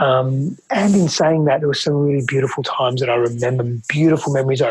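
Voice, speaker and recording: A man talks at a fairly quick pace, somewhat breathy. His pitch is medium, with ordinary variation. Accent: Australian. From Australia. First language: Greek. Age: 30s. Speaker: relationship and men's coach. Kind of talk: interview testimony.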